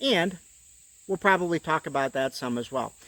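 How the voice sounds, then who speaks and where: A man with a high pitch and very wide pitch swings at a moderate pace, on a very clean recording with a silent background. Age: 60s. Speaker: YouTube outdoors channel host. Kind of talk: casual channel intro talk to camera. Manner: casual, with hesitations and repetitions.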